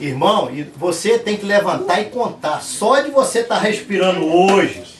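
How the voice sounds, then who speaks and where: Over noticeable background noise, a man talks at a fairly slow pace, his high pitch carried by lively intonation. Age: 60s. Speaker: lay preacher and church builder. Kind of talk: testimony.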